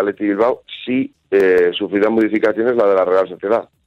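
A man delivers fairly quick speech at a fairly low pitch. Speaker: football correspondent. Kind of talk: phone interview. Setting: phone call.

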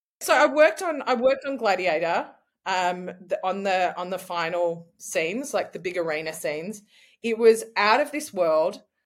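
Against a silent background in a very clean recording, a woman with an Australian accent speaks at a moderate pace and medium pitch, her voice making very wide pitch swings. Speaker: actor and artist. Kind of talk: interview conversation.

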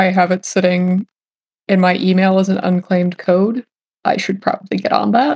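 Dry and close with no echo, a woman speaks in an unremarkable speaking voice at medium pitch with fairly even intonation. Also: moderate pace. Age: 20s. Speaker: role-playing game player. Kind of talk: tabletop role-play session.

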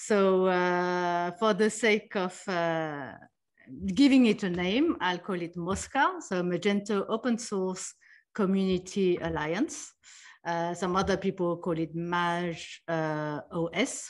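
A woman at a very slow pace, medium in pitch with ordinary pitch variation, against a quiet background. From France. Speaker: e-commerce executive. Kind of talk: interview. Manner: hesitant, many fillers.

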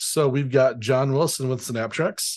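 An unremarkable speaking voice at a moderate pace. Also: man. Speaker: podcast co-host, developer. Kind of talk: casual news podcast chat. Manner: joking, playful.

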